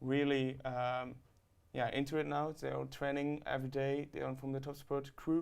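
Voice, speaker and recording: With a German accent, a man talks at a moderate pace and a fairly high pitch. His intonation is monotone and flat. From Germany. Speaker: student rower. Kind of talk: interview.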